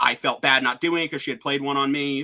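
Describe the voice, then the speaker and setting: Speaking at a very fast pace, the man has a bright, sharp tone and a fairly high pitch. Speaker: online game finalist. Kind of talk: casual chat.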